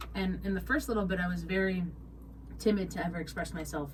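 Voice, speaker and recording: A woman is heard over noticeable background noise, with audible echo from the room. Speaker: hospitality worker and podcast co-host. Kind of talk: casual chat. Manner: stammering repetitions.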